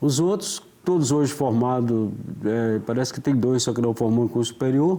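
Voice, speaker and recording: With an ordinary speaking voice, a man speaks at a moderate pace and medium pitch, with ordinary pitch variation and very even loudness. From Minas Gerais, Brazil (rural, near Belo Horizonte). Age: 60s. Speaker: interview guest, author. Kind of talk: casual interview.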